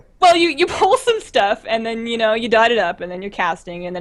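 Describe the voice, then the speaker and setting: A woman speaks over noticeable background noise. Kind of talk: casual chat. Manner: fast.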